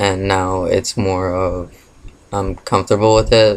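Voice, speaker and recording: A man's fairly low voice at a fairly slow pace, flat and monotone in intonation. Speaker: vlogger. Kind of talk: casual Q&A vlog. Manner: hesitant, many fillers.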